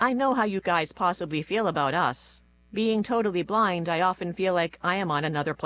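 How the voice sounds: Pitch varies an ordinary amount as the text is delivered in a natural reading voice.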